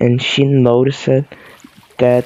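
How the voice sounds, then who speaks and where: In a Portuguese accent, a man with a medium pitch speaks at a very slow pace with monotone, flat intonation. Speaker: YouTuber reading aloud. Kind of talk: reading aloud; casual chat. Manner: halting, stumbles over words.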